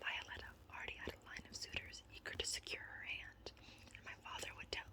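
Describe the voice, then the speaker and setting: Noticeable background noise fills the clip. Beneath it, the voice is whispering. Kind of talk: read story. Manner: whispered.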